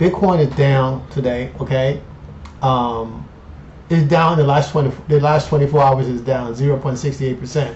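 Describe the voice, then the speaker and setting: With noticeable background noise behind him, a man talks in a fairly high pitch. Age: 50s. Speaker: finance YouTuber. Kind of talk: casual vlog monologue. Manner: animated.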